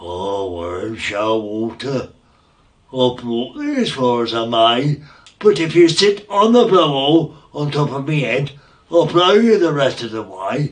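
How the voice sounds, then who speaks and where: A man puts on a character voice. He speaks at a moderate pace and medium pitch. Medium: read story. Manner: friendly, homely.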